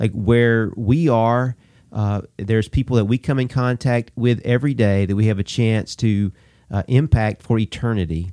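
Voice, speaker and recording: A man speaks with a Southern US accent in a dark, mellow tone at a moderate pace. His pitch varies in an ordinary way, and the sound is dry and close with no echo. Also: medium pitch for a man. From Alabama. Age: 40s. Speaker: pastor. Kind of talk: casual interview.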